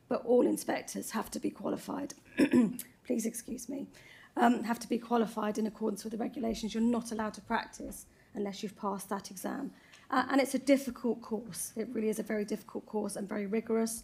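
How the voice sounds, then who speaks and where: A somewhat breathy woman at a fairly high pitch, talking at a very fast pace. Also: fairly even intonation. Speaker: council licensing officer. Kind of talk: committee meeting presentation. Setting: council committee meeting. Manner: halting.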